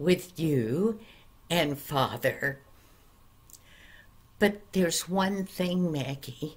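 A woman's very deep, low, somewhat breathy voice at a very slow pace, with ordinary pitch variation. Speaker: storyteller. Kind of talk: storytelling. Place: home room. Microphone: webcam.

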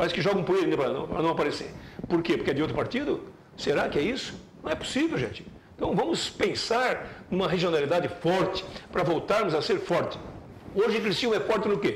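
A high-pitched male voice at a very fast pace with long, frequent pauses, audible room echo and light background noise. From Joinville, Santa Catarina, Brazil. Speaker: sports commentator. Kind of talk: opinionated sports commentary. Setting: TV studio. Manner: animated. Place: studio.

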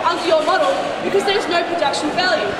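Ordinary pitch variation against crowd noise in the background and audible room echo. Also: woman. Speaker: student debater. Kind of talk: debate speech. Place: street. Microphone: pa.

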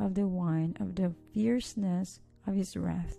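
Music plays in the background as a soft-spoken woman talks at a very slow pace. Her pitch is fairly low. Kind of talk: scripture reading.

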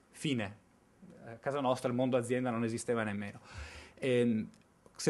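A man talking at a fairly quick pace. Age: 30s. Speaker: researcher presenting findings; conference speaker. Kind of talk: conference presentation. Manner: hesitant, with fillers. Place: hall. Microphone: podium.

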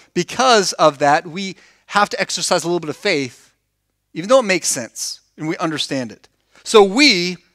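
Behind the speech, all is quiet. A man holds a moderate pace. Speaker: preacher. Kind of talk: sermon. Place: church. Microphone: headset.

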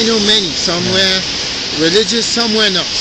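Loud background noise sits under a dry sound with no echo. A man talks at a moderate pace with ordinary pitch variation. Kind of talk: casual street conversation. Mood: earnest, reflective. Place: street. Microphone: phone near.

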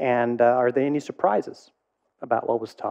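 With vocal fry and a medium pitch, a man talks at a moderate pace and ordinary pitch variation.

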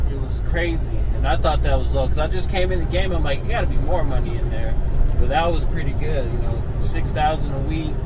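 Loud background noise behind a man speaking at a fairly quick pace. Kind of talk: casual vlog chat. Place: car.

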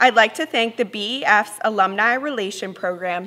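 Her tone is bright and sharp as the woman talks at a fairly slow pace with ordinary pitch variation. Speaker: student council president. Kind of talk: ceremony speech. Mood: formal, warm. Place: stage.

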